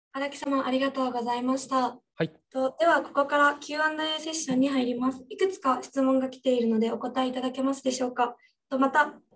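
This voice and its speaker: Her voice is high-pitched for a woman, with fairly even intonation. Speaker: student moderator. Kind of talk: webinar moderation. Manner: formal. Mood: polite, formal. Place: office. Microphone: studio mic.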